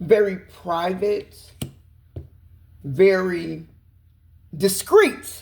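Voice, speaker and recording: A woman's voice with a dark, mellow tone. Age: 50s. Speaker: tarot reader. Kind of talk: tarot reading. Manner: fast.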